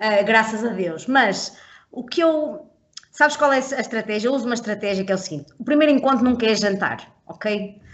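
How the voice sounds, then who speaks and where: A woman talks at a moderate pace with lively intonation and a fairly high pitch. It is a normal speaking voice. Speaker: podcast co-host. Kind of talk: casual chat.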